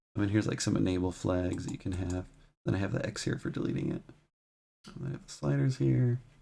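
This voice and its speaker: A soft-spoken man at a very fast pace, broken by long, frequent pauses. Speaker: game development tutorial streamer. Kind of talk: tutorial. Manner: quiet, soft-spoken.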